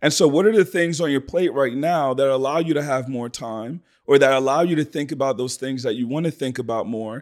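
Moving at a fairly quick pace with hardly any pauses, an unremarkable speaking voice shows ordinary pitch variation on a very clean recording with a silent background. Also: man, fairly high pitch for a man. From Sierra Leone, then raised in Philadelphia. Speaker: digital marketing strategist and entrepreneur. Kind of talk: casual interview conversation.

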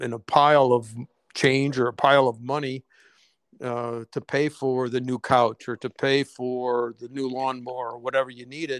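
Dry and close with no echo, the recording has a man speaking fairly slowly at a medium pitch in a monotone, flat delivery. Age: 60s. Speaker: small business owner. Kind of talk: casual chat. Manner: halting.

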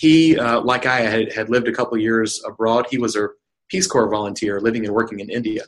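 A normal speaking voice with an American accent moves at a fairly quick pace with ordinary pitch variation. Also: man, medium pitch for a man. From North Carolina. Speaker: nonprofit chief executive. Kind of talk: interview.

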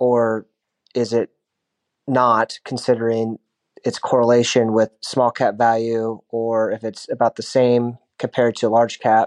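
A man at a medium pitch speaks at a fairly slow pace, his sound dry and close with no echo. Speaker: caller. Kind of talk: recorded listener question.

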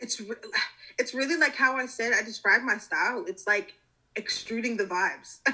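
At a moderate pace, a woman talks in a high pitch with a bright, sharp tone and ordinary pitch variation. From US South, Georgia (Metro Atlanta). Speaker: fashion design student. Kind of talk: casual chat.

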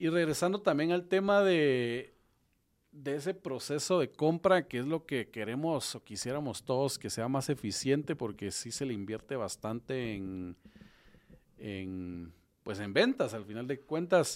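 Speaking fairly slowly with a Guatemalan accent, a man of medium pitch makes very wide pitch swings on a very clean recording with a silent background. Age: 30s. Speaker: podcast host, real estate developer. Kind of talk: interview.

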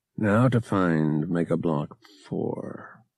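A man puts on a character voice with a very deep, low pitch. He mumbles his words. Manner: mumbling.

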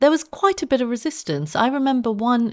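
A woman with a southern English accent and lively intonation, in a very clean recording with a silent background. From Southeast London. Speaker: science journalist and author. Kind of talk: interview.

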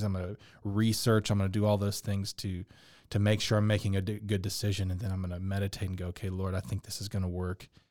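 On a very clean recording with a silent background, a man with a Texan accent speaks very fast in a dark, mellow tone, his fairly low pitch held in a monotone, flat intonation. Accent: Texan American. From Texas, Dallas. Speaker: business owner, furniture maker and musician. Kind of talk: interview.

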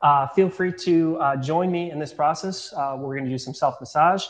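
This man has a fairly high pitch and a normal speaking voice. He speaks at a moderate pace. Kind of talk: guided barefoot tutorial. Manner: calm, instructive, conversational, filler-heavy; friendly, paced step-by-step demonstration.

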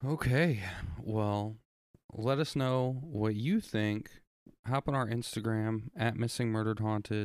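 A man's plain, everyday voice at a medium pitch, with a fairly slow pace, very even loudness and fairly even intonation. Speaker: podcast co-host. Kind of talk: casual chat and show intro.

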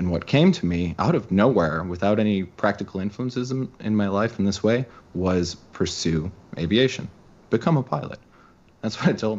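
A man with an American accent speaks at a moderate pace in a plain, everyday voice, his fairly low pitch carried by lively intonation. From Chicago, US Midwest. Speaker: author and podcaster. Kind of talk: casual interview.

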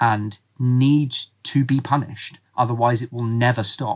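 Somewhat breathy and fairly even in intonation, the voice comes through a very clean recording with a silent background. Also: man. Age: 20s. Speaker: football podcast co-host. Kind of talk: casual chat.

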